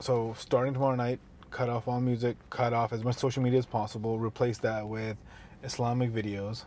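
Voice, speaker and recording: A man speaks at a fairly quick pace in a dark, mellow tone with monotone, flat intonation. The sound is dry with no echo, over light background noise. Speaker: podcast co-host. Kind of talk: casual podcast conversation. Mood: earnest, reflective. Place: car. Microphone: lapel.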